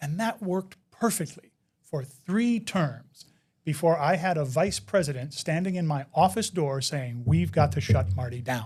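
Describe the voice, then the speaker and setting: With an American accent, a man talks at a moderate pace in a fairly high pitch. His voice is somewhat breathy and swings very widely in pitch. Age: 50s. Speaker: inclusive education expert. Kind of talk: interview. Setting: live online event.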